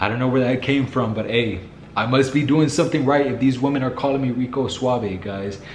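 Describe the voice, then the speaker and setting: A man talking at a fairly quick pace with fairly even intonation, amid noticeable background noise and audible room echo. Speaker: dating advice youtuber. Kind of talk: casual vlog monologue. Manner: calm.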